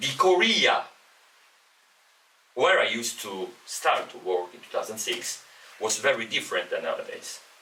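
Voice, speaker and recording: A man with an Italian accent speaks at a moderate pace, pausing long and often. His loudness swings widely, and background noise is noticeable. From Italy. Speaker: professor. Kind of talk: casual chat. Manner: halting.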